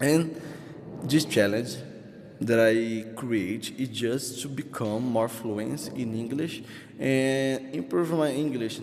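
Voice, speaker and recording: With a Brazilian Portuguese accent, a man speaks at a very slow pace in a medium pitch with ordinary pitch variation, amid noticeable background noise and audible room echo. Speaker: English learner vlogger. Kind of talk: casual vlog monologue. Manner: halting, many fillers and restarts.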